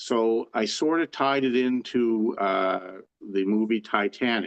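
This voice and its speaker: A man with a Canadian Maritime accent speaks at a fairly low pitch, using ordinary pitch variation. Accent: Canadian Maritimes English. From Canada, New Brunswick (Saint John). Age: 60s. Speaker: author and harness racing enthusiast. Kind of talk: interview. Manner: halting, many fillers and restarts.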